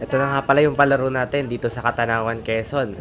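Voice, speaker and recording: A man talks at a very fast pace with fairly even intonation. Noticeable background noise is present. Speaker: cycling vlogger. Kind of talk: live race commentary.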